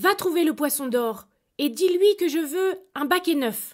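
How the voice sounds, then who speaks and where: A woman's high pitch marks the put-on character voice she speaks in. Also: moderate pace. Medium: read story. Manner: sharp, demanding.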